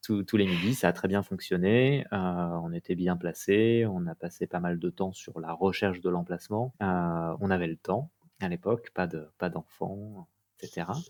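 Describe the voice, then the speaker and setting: At a fairly slow pace, a man speaks with a very deep, low voice and ordinary pitch variation, the recording very clean with a silent background and a dry, close sound with no echo. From Paris region, France. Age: 30s. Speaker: entrepreneur, restaurant co-founder. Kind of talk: podcast interview. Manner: hesitant, many fillers.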